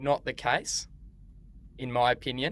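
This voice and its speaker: Very slowly, a man speaks with an Australian accent. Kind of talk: podcast-style conversation for English learners. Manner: slow, clear.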